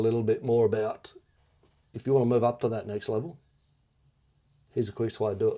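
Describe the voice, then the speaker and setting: A man in an Australian accent talks at a fairly quick pace, his medium-pitched voice dark and mellow in tone. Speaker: construction business coach. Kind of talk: video log commentary. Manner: casual.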